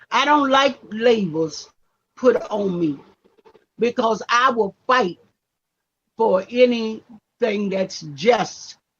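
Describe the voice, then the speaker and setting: A woman speaks with lively intonation and a somewhat breathy quality. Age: 70s. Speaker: activist and reverend. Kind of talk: casual interview conversation. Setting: live stream.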